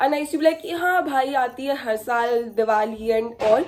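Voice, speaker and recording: A woman with a high pitch, lively intonation and a moderate pace. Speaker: vlogger. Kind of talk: casual vlog chat. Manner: code-switching Hindi and English; loud.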